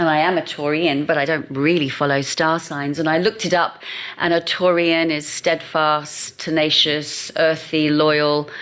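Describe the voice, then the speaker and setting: A woman's very deep, low voice with an English accent, monotone and flat in intonation, at a fairly slow pace with very even loudness. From England. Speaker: marketing agency founder. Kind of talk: podcast interview.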